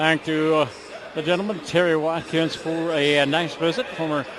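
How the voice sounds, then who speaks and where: The pace is moderate. Audible room echo and noticeable background noise are present. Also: man. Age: 60s. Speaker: sports broadcaster. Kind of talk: broadcast announcing; radio sports interview.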